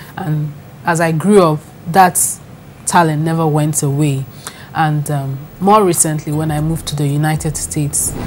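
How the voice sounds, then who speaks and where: The speech moves at a moderate pace with fairly even intonation and long, frequent pauses. Noticeable background noise is present. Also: woman, very deep, low pitch for a woman. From Nigeria (Enugu). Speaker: author and blogger. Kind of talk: interview. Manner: halting.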